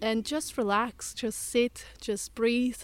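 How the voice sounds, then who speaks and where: Her fairly high voice flat and monotone, a woman speaks with a Russian accent. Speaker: forest bathing guide and yoga teacher. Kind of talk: interview conversation. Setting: outdoors in woodland.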